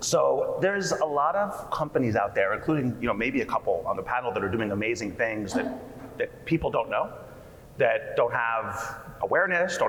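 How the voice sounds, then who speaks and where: A man with a New Jersey accent at a moderate pace, with audible room echo and noticeable background noise. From US Northeast, New Jersey. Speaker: PR agency founder and CEO. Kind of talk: panel discussion. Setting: conference stage with audience.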